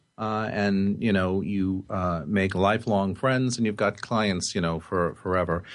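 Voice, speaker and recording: Barely pausing, a man speaks in a normal speaking voice at a fairly low pitch, with fairly even intonation and very even loudness. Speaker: radio host. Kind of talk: radio interview. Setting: studio.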